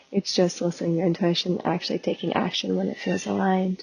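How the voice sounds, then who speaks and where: A soft-spoken woman with an American accent talks at a medium pitch. Noticeable background noise sits behind her. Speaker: spiritual business coach and podcast host. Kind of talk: casual podcast monologue. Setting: outdoors in nature. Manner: slow.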